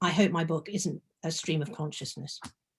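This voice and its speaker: At a fairly quick pace, a woman talks in a somewhat breathy voice with ordinary pitch variation. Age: 70s. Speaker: memoir author. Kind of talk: book launch interview. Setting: video call. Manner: halting.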